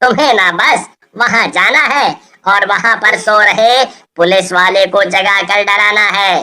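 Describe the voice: A cartoonish character voice, female-sounding, medium in pitch, at a fairly slow pace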